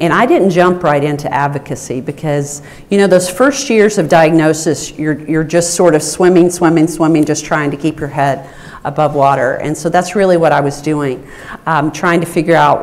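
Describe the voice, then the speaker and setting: With an American accent, a woman speaks at a moderate pace in a very deep, low pitch with ordinary pitch variation, amid audible room echo and noticeable background noise. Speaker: rare disease advocate, research center director. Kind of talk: conference panel talk.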